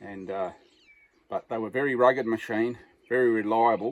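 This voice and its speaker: A man with a medium-pitched voice speaks with an Australian accent. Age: 60s. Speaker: farmer. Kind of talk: casual chat.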